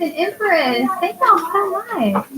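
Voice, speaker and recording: A woman's extremely high voice at a very slow pace, with noticeable background noise. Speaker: tarot reader and astrology livestreamer. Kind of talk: casual livestream chat. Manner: blunt, can sound insensitive.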